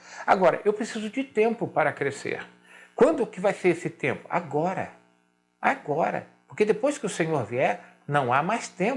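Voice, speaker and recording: A man at a fairly slow pace with lively intonation, music in the background. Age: 60s. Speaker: pastor. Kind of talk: sermon. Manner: emphatic, repetitive.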